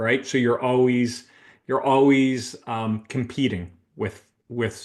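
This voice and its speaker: The speaker is a man with a slight Canadian accent. He keeps a medium pitch and fairly even intonation. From Canada, Toronto area. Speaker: recruitment consultant, business owner. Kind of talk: interview podcast.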